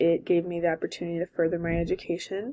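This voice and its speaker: In a very clean recording with a silent background, a woman with a fairly low voice and a Californian accent speaks at a moderate pace. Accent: Californian American English. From Southern California. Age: 20s. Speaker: college graduate and former softball player. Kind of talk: personal video introduction.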